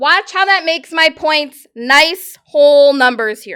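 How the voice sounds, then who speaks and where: The voice is raised and projected, bright and sharp in tone. It moves at a very slow pace. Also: woman. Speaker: math teacher. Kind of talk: classroom lecture.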